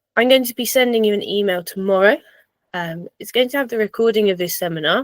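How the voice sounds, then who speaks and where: This voice carries an English accent and moves at a fairly quick pace with ordinary pitch variation. The sound is dry and close, with no echo. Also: woman. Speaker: personal trainer and fitness coach. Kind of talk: online seminar presentation.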